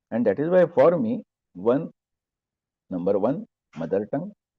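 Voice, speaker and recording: Speaking at a moderate pace with an Indian accent, a man lets his pitch swing very widely. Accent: Marathi-accented Indian English. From Maharashtra, India. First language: Marathi. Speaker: professor. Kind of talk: lecture. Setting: video call.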